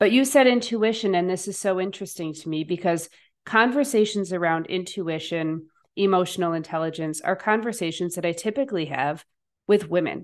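In a fairly quick delivery, a woman speaks with a plain, everyday voice at a medium pitch. Her pitch varies in an ordinary way, and the background is quiet. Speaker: podcast host and coach. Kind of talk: interview.

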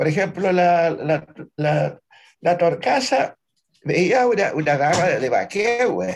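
Speaking very slowly, a man with a high voice uses lively intonation. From southern Chile, Lago Budi. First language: Mapudungun (speaking Spanish). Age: 80s+. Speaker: Mapuche poet and folk teacher. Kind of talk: interview. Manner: halting.

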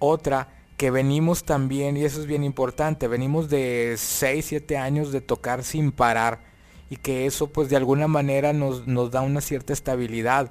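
Over music in the background, a man talks at a fairly high pitch and moderate pace with monotone, flat intonation. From Monterrey, northern Mexico. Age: 40s. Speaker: rock keyboardist and composer. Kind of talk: casual interview chat.

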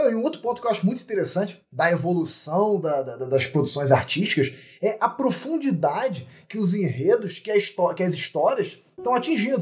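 This man has a high pitch with very wide pitch swings. He keeps a moderate pace. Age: 30s. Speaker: podcast host. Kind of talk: casual chat. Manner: halting, repeats words.

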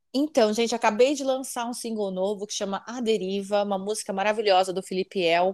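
A woman speaks at a moderate pace in a normal speaking voice, pitched fairly high. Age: 40s. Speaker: singer. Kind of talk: casual chat.

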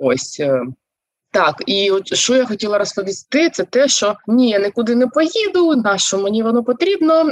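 Her pitch fairly high and swinging very widely, a woman speaks at a moderate pace with very even loudness in a dry, close sound with no echo. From Zaporizhzhia, Ukraine. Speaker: organizational psychologist and coach. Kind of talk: casual interview chat. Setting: video call.

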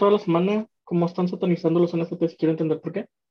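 Talking at a very fast pace, a woman speaks with a Mexican accent. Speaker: podcast co-host. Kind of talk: casual chat.

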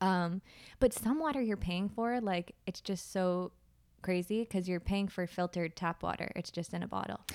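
A woman with an American accent uses a normal speaking voice at a medium pitch. She moves at a moderate pace with ordinary pitch variation. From US Northeast, Plymouth, Massachusetts. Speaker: yoga teacher and astrologer. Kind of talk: casual interview. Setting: in person.

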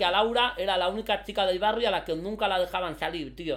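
A man's high-pitched voice on a very clean recording with a silent background. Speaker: content creator. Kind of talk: casual chat. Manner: animated.

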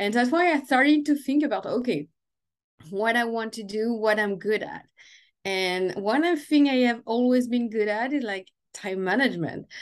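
A woman speaks with a French accent at a fairly high pitch and a moderate pace. Her intonation is lively, and the background is quiet. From France. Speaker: time management and business coach. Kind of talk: interview.

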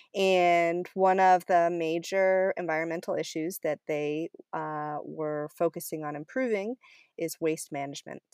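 Fairly slow and fairly even in intonation, a woman speaks in a normal speaking voice at a fairly low pitch with an American accent, the sound dry and close with no echo. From Maine, US (Cumberland). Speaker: community composter and climate policy advocate. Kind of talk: interview.

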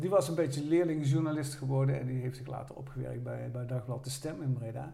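In a room with audible echo, a man with a dark, mellow tone and a somewhat breathy, fairly high voice talks at a fairly quick pace with ordinary pitch variation. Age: 60s. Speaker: retired former student, amateur actor. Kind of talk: casual chat.

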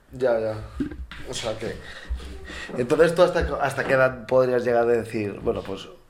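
Audible room echo and noticeable background noise fill the recording, with big swings in loudness. The pace is moderate, with long, frequent pauses and ordinary pitch variation. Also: man, medium pitch for a man. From Valencia, Spain. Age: 20s. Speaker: podcast co-host, handball player. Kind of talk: casual chat.

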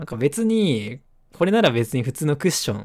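Fairly quick speech from a man with a fairly high pitch and very wide pitch swings. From Nagasaki, Japan. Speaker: podcast co-host. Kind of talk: casual chat. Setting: webcam call.

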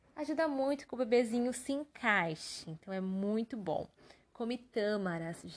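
A woman's normal speaking voice, fairly high in pitch, with lively intonation and a fairly slow pace. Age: 20s. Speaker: occupational therapist and podcast host. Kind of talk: casual solo podcast monologue.

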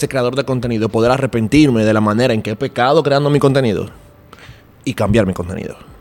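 Medium in pitch with ordinary pitch variation, a man's voice is heard. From Dominican Republic. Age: 20s. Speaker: podcaster and creative director. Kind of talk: casual chat. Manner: animated.

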